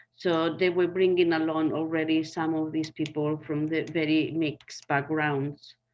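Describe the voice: In a Spanish accent, a woman speaks at a fairly slow pace with a low pitch, little pitch movement and a slightly mellow tone.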